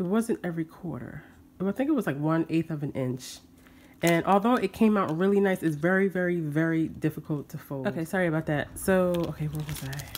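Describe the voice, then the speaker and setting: This woman talks at a fairly quick pace, her pitch fairly low with ordinary variation. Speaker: papercraft YouTuber. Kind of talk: crafting show-and-tell tutorial. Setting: home, filming by natural light. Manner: fast; hesitant, many fillers.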